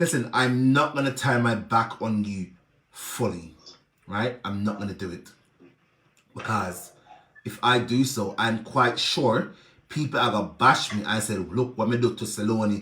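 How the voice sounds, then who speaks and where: The speaker has an animated tone and ordinary pitch variation, with a Jamaican accent. The pace is moderate, broken by long, frequent pauses. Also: man, medium pitch for a man. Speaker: social media personality, charity helper. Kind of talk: live video rant.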